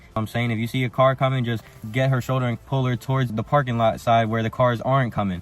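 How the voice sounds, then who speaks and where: Noticeable background noise runs under this man's voice. He speaks at a very fast pace with monotone, flat intonation. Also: medium pitch for a man. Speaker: dating advice youtuber. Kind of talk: advice monologue. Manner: casual.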